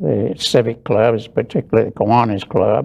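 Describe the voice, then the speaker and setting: Against a quiet background, a man with a dark, mellow tone and vocal fry speaks with ordinary pitch variation. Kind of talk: interview answer. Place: studio.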